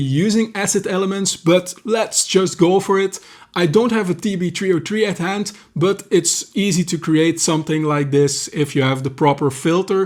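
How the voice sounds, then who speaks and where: A man with a Belgian accent talks at a moderate pace in a high pitch. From Belgium. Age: 40s. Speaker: music producer, YouTuber. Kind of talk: tutorial.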